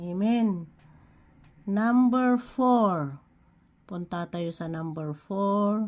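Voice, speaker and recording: Over a quiet background, the speech moves at a very slow pace with long, frequent pauses and ordinary pitch variation. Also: woman, medium pitch for a woman. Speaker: online devotional speaker. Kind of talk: devotional preaching. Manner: halting, with frequent fillers; code-switching Tagalog and English.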